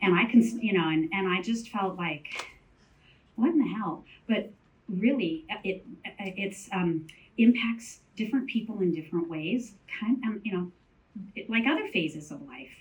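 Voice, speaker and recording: Speaking at a moderate pace, a woman uses lively intonation at a medium pitch. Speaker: panelist on mental health in menopause. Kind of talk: panel talk.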